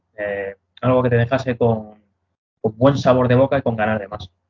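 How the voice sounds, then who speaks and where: Here a man speaks at a moderate pace. His pitch sits in the medium range. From Madrid, Spain. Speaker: metal band vocalist. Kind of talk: interview.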